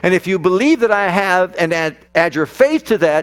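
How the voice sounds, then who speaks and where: With an animated tone, a man speaks at a high pitch and a fairly quick pace. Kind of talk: sermon. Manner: animated, rousing, call-and-response; emphatic, repetitive, building rhythm.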